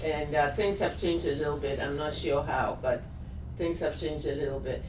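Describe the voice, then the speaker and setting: Noticeable background noise and audible echo from the room surround a woman's voice. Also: fairly quick pace. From Ghana, Accra area (Ga). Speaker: shop owner. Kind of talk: interview.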